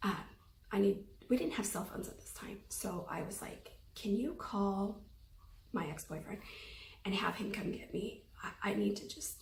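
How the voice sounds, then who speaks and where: Audible room echo carries a woman's shaky voice with vocal fry. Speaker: anxiety vlogger. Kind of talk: personal testimony. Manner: hesitant, many fillers.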